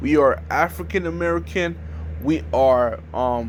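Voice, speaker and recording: A man's very deep, low voice with very wide pitch swings, delivered at a very slow pace amid audible room echo. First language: French. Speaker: YouTuber. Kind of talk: informal video talk. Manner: halting.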